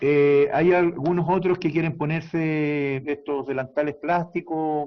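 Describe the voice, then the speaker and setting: At a very slow pace, a man talks in a flat monotone with a fairly high pitch. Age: 60s. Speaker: doctor. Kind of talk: interview. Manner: halting.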